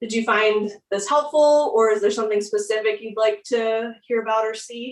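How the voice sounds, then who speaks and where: In an unremarkable speaking voice, a woman talks at a moderate pace and fairly high pitch, with fairly even intonation and hardly any pauses. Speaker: yoga instructor. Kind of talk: workshop teaching.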